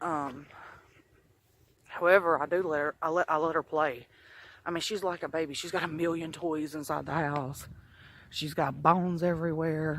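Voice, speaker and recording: A man's monotone, flat delivery with long, frequent pauses. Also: fairly high pitch for a man, moderate pace. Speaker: vlogger. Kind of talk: casual vlog while walking. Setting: outdoors, walking. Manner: halting, repeats words.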